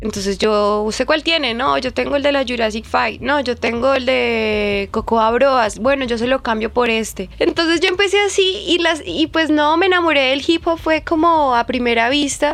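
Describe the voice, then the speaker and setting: Over noticeable background noise, a woman with a high pitch speaks at a moderate pace with hardly any pauses, lively intonation and very even loudness. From Colombia, Bogotá (Ciudad Bolívar). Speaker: DJ. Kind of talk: interview.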